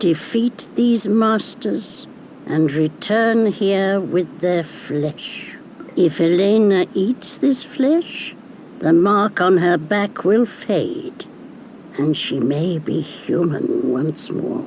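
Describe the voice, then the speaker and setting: A cartoonish character voice at a middle pitch, delivered at a very slow pace. Background noise is clearly audible. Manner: cackling, knowing.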